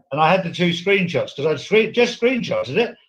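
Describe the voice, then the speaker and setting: Speaking very fast, a man with a British accent uses a high pitch. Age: 60s. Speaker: former prison security specialist. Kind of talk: casual chat. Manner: animated.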